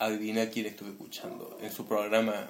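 Through noticeable background noise and audible room echo, a man speaks. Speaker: amateur radio show co-host. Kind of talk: casual joking chat.

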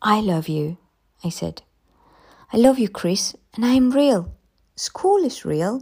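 Very slowly and with a dramatic tone, a woman speaks in a dark, mellow voice with lively intonation. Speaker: audiobook narrator. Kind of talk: literary audiobook reading of a ghost story, first-person narration with quoted dialogue.

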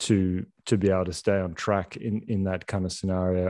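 A man with a fairly low pitch speaks in an Australian accent. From Australia, Sydney. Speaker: filmmaker and entrepreneur. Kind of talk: casual interview. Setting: remote call. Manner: halting, many restarts.

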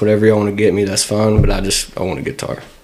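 A man with a fairly low voice talks as noticeable background noise carries on. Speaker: guitarist and singer. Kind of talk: casual chat.

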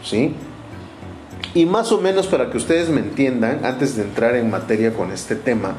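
Lively intonation marks this man's speech at a moderate pace. Behind him there is noticeable background noise and audible room echo. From Mexico, Orizaba, Veracruz. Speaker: astrology podcaster. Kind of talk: casual monologue. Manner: hesitant, filler-heavy.

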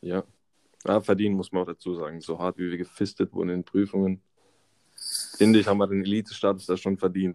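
In a dry, close sound with no echo, a man with a very deep, low pitch and a dark, mellow tone talks at a very fast pace in a monotone, flat intonation, with long, frequent pauses. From Baden-Württemberg, Karlsruhe area. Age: 20s. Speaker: mechanical engineering student. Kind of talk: casual chat.

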